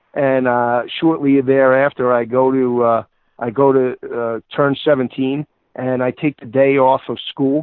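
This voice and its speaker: A man with an American accent speaks at a medium pitch. His intonation is monotone and flat. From New York / New Jersey. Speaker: college football analyst. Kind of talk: interview.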